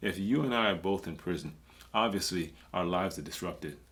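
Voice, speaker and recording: A man speaks in a very deep, low pitch. His accent is American. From US inner city. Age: 50s. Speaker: former prison inmate. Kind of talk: casual chat.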